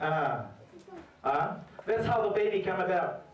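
Animated in tone, a man speaks at a high pitch, with light background noise and audible room echo. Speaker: preacher. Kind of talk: sermon. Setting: church. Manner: animated, fervent preaching with call-and-response, urging the congregation to say amen. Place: church.

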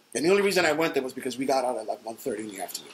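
A man in a New York accent at a very fast pace, fairly high-pitched with ordinary pitch variation, over light background noise. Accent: New York City. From The Bronx, New York City; New York City. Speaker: hardcore band bassist; interviewee. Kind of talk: oral history interview answer. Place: office.

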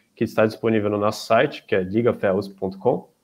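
The delivery has a moderate pace and fairly flat intonation. It is an unremarkable speaking voice. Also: man. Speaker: student event organizer; student event host. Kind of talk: event opening and closing. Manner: formal. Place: home room.

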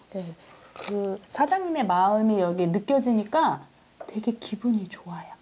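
At a fairly slow pace, a woman speaks with lively intonation. Her loudness swings widely over light background noise. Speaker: food show host. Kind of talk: casual interview chat. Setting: on location at restaurant. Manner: cheerful, laughs often. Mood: cheerful, warm. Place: cafe. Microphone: lapel.

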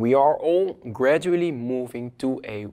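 The speaker has a non-native accent and ordinary pitch variation. The background is quiet. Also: man. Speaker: online course instructor. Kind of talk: lecture. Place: studio. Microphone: lapel.

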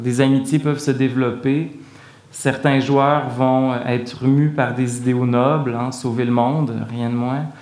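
This man talks at a very slow pace. His medium pitch stays monotone and flat. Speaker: art historian and professor. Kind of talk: lecture. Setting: stage with audience. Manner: formal.

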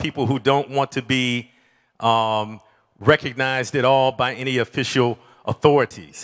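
Ordinary pitch variation marks the speech of a man with an American accent. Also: quiet background. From US Midwest, Detroit; Michigan. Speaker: community food activist; conference speaker. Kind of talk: conference talk. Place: hall. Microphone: handheld.

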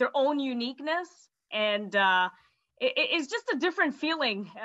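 The background is quiet. A woman talks in a North American accent. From Canada. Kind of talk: casual chat. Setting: video call. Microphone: video call.

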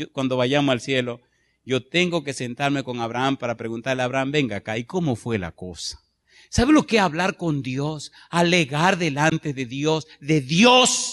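A man talks at a fairly slow pace with fairly high pitch. His tone is animated, with lively intonation. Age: 50s. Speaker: pastor. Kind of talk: sermon. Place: church. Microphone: handheld.

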